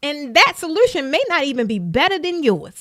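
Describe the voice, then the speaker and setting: A woman's animated, raised and projected voice, bright and sharp in tone, with a Baltimore accent. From US, Baltimore, Maryland. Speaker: business coach. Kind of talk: live stream talk. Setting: live stream.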